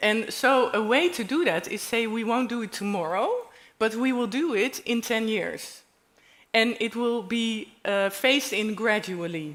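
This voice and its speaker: A woman with a Dutch accent talks at a fairly slow pace in a fairly high voice with ordinary pitch variation. The recording is very clean, with a silent background. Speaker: panel speaker. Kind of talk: panel discussion.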